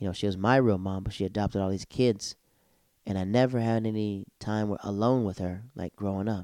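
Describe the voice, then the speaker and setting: A dark, mellow tone carries fairly even intonation. The pace is fairly quick over a quiet background. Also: man, fairly low pitch for a man. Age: 30s. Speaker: podcast host and comedian. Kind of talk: casual monologue.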